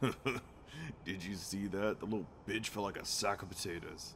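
Using a put-on character voice, a man speaks at a fairly low pitch over clear background noise. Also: moderate pace. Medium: audio drama. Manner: gloating, crude, mocking.

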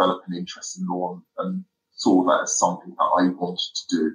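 This is a man talking. He speaks with a London accent. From South London. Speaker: barrister. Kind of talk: interview.

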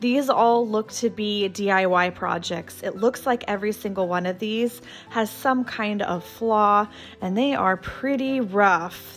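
Over faint music in the background, the voice moves at a fairly slow pace with ordinary pitch variation. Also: woman. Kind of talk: casual vlog chat. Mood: enthusiastic. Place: shop.

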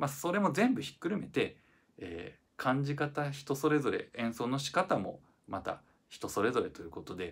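Vocal fry runs through a man's relaxed delivery at a moderate pace, with very wide pitch swings. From Japan. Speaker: violinist. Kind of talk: casual reflective talk to camera. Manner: relaxed, hesitant with many fillers. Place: empty room. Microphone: phone near.

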